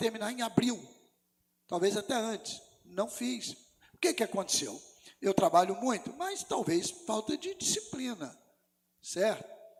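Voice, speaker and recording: A man speaks at a moderate pace with long, frequent pauses. His pitch is high. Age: 60s. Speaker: pastor. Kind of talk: sermon.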